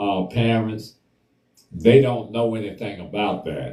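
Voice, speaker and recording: A man speaks with an American accent at a very slow pace. His voice is fairly low, with a dark, mellow tone. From US South. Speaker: talk show host. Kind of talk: casual discussion.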